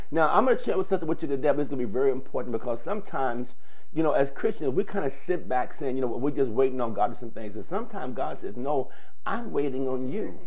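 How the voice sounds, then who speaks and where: The intonation is lively. A man delivers it at a very fast pace. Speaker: preacher hosting a stream. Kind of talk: sermon-style address to viewers. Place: studio.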